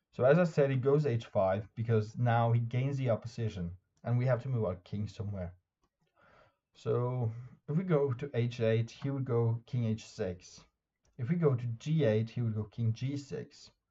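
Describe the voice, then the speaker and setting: A man speaks with a Norwegian accent in a somewhat breathy voice. His tone is dark and mellow, with ordinary pitch variation. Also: medium pitch for a man, moderate pace. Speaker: chess YouTuber and streamer. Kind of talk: tutorial. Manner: halting.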